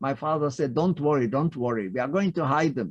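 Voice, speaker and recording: There is a quiet background. Against it, a man speaks fairly quickly. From Lithuania. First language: Yiddish. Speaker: Holocaust survivor speaker. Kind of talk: testimony. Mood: earnest, animated storytelling. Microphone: video call.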